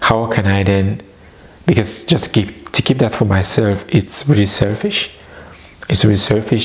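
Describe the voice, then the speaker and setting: A man with a non-native accent talks at a moderate pace and a fairly low pitch over noticeable background noise. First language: not English. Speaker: personal development vlogger. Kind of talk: personal testimony.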